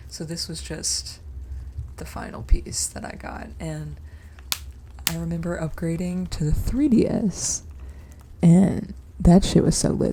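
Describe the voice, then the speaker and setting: A soft-spoken woman talks at a moderate pace with long, frequent pauses and big swings in loudness. Noticeable background noise is present. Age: 20s. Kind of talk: soft-spoken ASMR casual talk.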